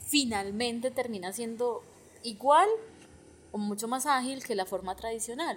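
A woman with a normal speaking voice talks at a fairly slow pace, fairly high in pitch with ordinary pitch variation. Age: 30s. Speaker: podcast co-host, economist. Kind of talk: casual conversation.

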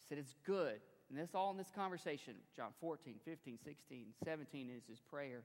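This man's voice is fairly high in pitch, with ordinary pitch variation. His tone is animated. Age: 40s. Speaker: pastor. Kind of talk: sermon. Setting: church.

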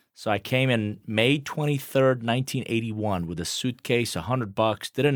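A man with a Persian accent speaks at a fairly quick pace and medium pitch, with ordinary pitch variation and hardly any pauses, on a very clean recording with a silent background. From Iran, then Atlanta from teens. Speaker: business consultant. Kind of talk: interview.

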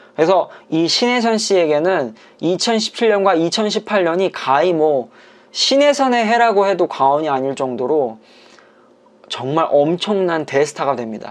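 A man speaks at high pitch with very wide pitch swings. His pace is very slow. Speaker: Korean language teacher and podcast host. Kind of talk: educational podcast monologue about Korean dramas. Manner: normal conversational speed; clear, simple enunciation for learners.

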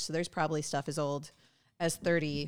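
The speaker is a woman with a very deep, low pitch. Her intonation is fairly even. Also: very clean recording, silent background. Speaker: spirits distributor director. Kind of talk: tasting presentation. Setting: live event with audience.

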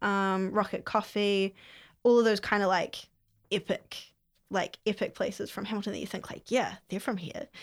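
A woman in a New Zealand accent speaks at a medium pitch in a very clean recording with a silent background. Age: 20s. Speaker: mayoral candidate. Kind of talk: casual interview.

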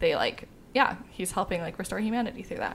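A woman with vocal fry and lively intonation at a fairly quick pace. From US Midwest. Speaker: podcast co-host. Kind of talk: casual chat.

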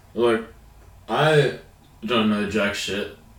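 A man talks at a moderate pace. The room echo is audible and the background noise is noticeable. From Australia. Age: 20s. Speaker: podcast co-host. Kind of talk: casual chat.

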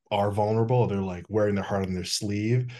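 Against a quiet background, a man with an American accent talks in a fairly low voice with fairly even intonation. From Wisconsin, US Midwest. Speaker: podcast host. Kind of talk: casual interview chat.

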